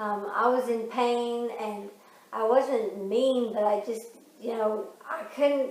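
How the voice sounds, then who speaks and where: The speaker talks at a very slow pace. Noticeable background noise and audible room echo fill the recording. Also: woman, fairly high pitch for a woman, fairly even intonation. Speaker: vlogger with Parkinson's. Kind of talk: casual chat.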